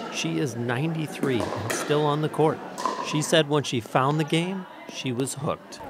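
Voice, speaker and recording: With noticeable background noise behind him, a man speaks at a moderate pace in a fairly high voice with ordinary pitch variation. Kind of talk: news feature narration.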